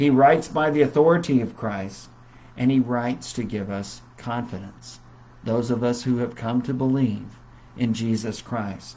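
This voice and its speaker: His tone is dark and mellow, set at a medium pitch. The man's pitch variation is ordinary. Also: moderate pace. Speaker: Bible class teacher. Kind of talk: Bible lesson. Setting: Facebook live stream.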